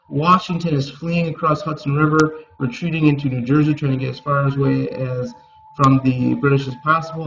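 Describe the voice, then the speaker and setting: Over noticeable background noise, a man speaks fairly quickly at a fairly high pitch with ordinary pitch variation. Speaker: middle school teacher. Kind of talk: recorded class lecture. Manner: fast.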